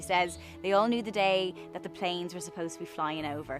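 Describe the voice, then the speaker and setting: A woman with an Irish accent talks at a fairly quick pace in a fairly low voice, her pitch varying in an ordinary way while music plays in the background. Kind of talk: interview answer.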